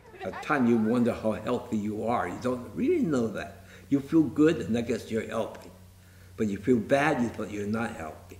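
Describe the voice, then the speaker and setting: There is audible room echo and light background noise as a man talks at a moderate pace with ordinary pitch variation. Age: 70s. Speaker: piano mover. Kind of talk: interview answer. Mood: calm, matter-of-fact. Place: hall.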